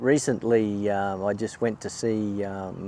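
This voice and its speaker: This man has a dark, mellow tone, a fairly low pitch and an Australian accent. He speaks at a moderate pace with monotone, flat intonation. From Queensland, Australia. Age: 60s. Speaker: kayak angler. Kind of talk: interview. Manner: hesitant, many fillers.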